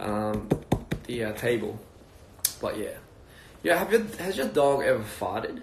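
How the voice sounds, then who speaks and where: Speech at a fairly slow pace, broken by long, frequent pauses, comes with audible room echo and noticeable background noise. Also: man. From Australia (Wollongong, NSW). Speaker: music label founder. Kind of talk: casual livestream chat. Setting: Instagram live video stream. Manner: relaxed, hesitant with fillers.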